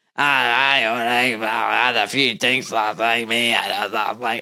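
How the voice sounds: A man's put-on character voice, medium in pitch, fairly slow, with monotone, flat intonation.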